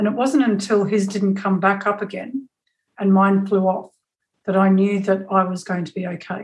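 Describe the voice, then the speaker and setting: A somewhat breathy woman's voice at medium pitch, moderate in pace, with fairly even intonation. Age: 50s. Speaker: communication specialist and photographer. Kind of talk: personal storytelling.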